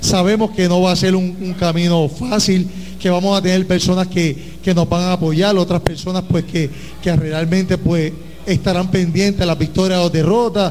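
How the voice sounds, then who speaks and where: Noticeable background noise sits behind a man with a high pitch. He speaks at a moderate pace in a monotone, flat intonation with very even loudness. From Puerto Rico, Ponce. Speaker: team owner, schoolteacher. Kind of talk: welcome speech.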